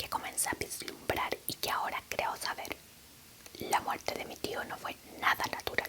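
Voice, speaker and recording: A woman whispering at a fairly slow pace over noticeable background noise. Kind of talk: whispered audiobook reading. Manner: whispered.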